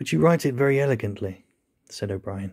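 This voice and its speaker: The recording is very clean with a silent background. A man at a medium pitch talks at a fairly quick pace with lively intonation. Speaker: audiobook narrator. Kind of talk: literary audiobook reading, scripted narration of a novel. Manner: measured, formal, suspenseful narration.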